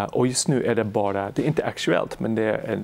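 This man's voice holds a medium pitch with ordinary pitch variation, moving at a moderate pace. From Canada, Montreal. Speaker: economist researcher. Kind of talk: interview. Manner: halting, many fillers.

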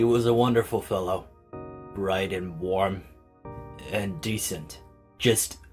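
With faint music in the background, a man uses a put-on character voice at a fairly low pitch and a fairly slow pace. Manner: hesitant, sorrowful.

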